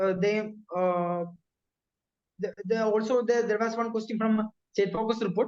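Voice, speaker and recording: A man with a Keralan accent speaks at a high pitch and a moderate pace. His intonation is monotone and flat, with long, frequent pauses. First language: Malayalam. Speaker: bank officer recounting exam success. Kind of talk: interview. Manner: halting, many fillers.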